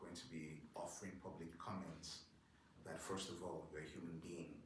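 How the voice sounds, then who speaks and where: A man speaks in a flat, monotone way, with audible room echo and noticeable background noise. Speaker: town councilor running for reelection. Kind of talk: candidates forum answer.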